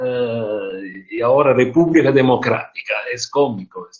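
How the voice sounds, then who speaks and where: The speaker talks very slowly in a non-native accent, somewhat breathy. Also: man. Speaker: speaker on social issues. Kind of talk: online group meeting talk.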